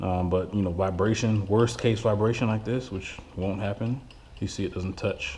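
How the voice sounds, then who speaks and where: A mumbling man at a moderate pace, fairly low in pitch, with fairly even intonation. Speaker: car hobbyist doing an engine swap. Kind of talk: casual walkaround talk to camera.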